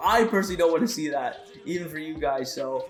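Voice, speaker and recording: A man over music in the background, with audible room echo. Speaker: gaming youtuber. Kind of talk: gameplay commentary. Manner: louder than usual.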